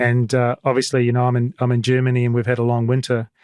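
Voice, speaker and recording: A man talks very fast at a medium pitch, with a slight New Zealand accent. The sound is dry and close, with no echo. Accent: mild New Zealand. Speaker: podcast host. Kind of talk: interview; scripted announcements.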